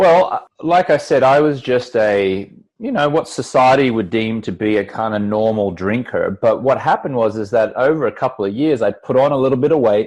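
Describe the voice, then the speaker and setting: A man talks at a fairly quick pace with an Australian accent. His intonation is lively. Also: medium pitch for a man. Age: 40s. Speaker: entrepreneur and former TV sports anchor. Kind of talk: podcast interview.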